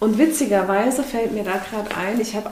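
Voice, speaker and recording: A woman talks at a moderate pace with ordinary pitch variation. There is audible room echo and noticeable background noise. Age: 20s. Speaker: podcast co-host. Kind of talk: casual chat.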